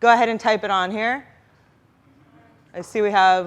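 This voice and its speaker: A woman at medium pitch, with fairly even intonation. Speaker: product marketing manager, conference speaker. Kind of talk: conference workshop talk. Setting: stage with audience. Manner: fast.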